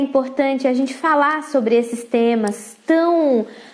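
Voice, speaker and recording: With noticeable background noise, a woman speaks in a high voice with ordinary pitch variation. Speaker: parenting educator and mentor. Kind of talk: live stream talk. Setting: Instagram live.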